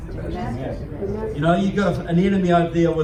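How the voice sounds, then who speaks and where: A man speaks with a New Zealand accent. The room echoes audibly and background noise is noticeable. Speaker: political speaker. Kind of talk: speech to a club audience. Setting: live audience in a meeting room. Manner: animated.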